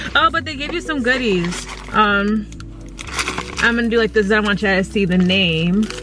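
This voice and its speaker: Against noticeable background noise, a woman speaks at a fairly quick pace with ordinary pitch variation. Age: 20s. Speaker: beauty vlogger. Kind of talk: casual vlog. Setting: at home; in a car.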